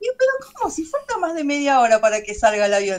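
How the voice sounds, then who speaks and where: A woman speaks with a Rioplatense accent. Her intonation is lively. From Buenos Aires, Argentina; Argentina. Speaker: doll maker and craft teacher; craft teacher. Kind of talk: casual interview chat. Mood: relaxed, animated storytelling. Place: home room. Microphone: video call.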